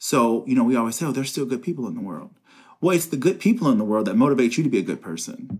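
Here a man talks at a very fast pace. His medium-pitched voice moves in very wide pitch swings. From Northern Kentucky (Covington, near Cincinnati). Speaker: criminal justice professor and former police officer. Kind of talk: interview conversation.

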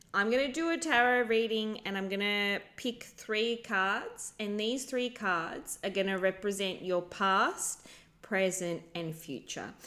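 A woman speaks in a bright, sharp, animated tone at a fairly slow pace with ordinary pitch variation. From lives in Brussels, moved there. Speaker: podcast co-host and tarot reader. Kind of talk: casual chat. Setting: recording with a new microphone. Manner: animated, joking.

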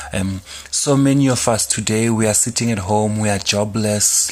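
Fairly even intonation marks this man's speech, pitched fairly low. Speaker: online radio host. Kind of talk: casual solo radio talk. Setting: studio. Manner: calm.

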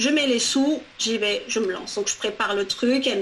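A woman talking at a fairly quick pace, with ordinary pitch variation over noticeable background noise. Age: 40s. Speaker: career coach. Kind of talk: interview.

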